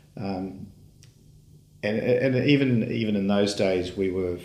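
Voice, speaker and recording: In a New Zealand accent, a man with a fairly low pitch and ordinary pitch variation talks at a fairly slow pace amid audible room echo. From New Zealand (Auckland). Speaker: dairy company CEO. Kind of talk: interview.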